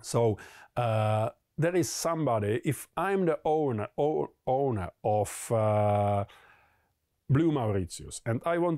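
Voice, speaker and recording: A man with a Czech accent speaks at a fairly slow pace in a medium pitch, his dark, mellow tone swinging very widely in pitch, on a very clean recording with a silent background and a dry, close sound with no echo. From Czech Republic. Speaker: collectibles investor. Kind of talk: explainer monologue. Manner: hesitant, many fillers.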